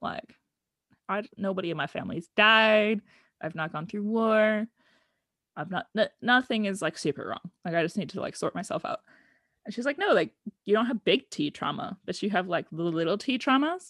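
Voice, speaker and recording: A woman with a General American accent uses a normal speaking voice at a medium pitch and moderate pace, with lively intonation. The sound is dry and close with no echo, a very clean recording over a silent background. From US West (Oregon and Arizona). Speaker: guest telling her life story.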